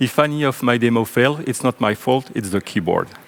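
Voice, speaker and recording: With a French accent, a man speaks at a moderate pace with ordinary pitch variation. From French-speaking Belgium. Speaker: software engineer and conference speaker. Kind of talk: technical conference talk. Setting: stage with audience.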